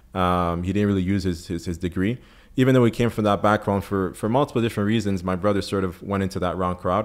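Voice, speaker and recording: The speech comes at a very fast pace with a French accent and fairly even intonation. The recording is very clean with a silent background. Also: man, fairly low pitch for a man. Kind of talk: interview testimony. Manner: hesitant, many fillers and repetitions.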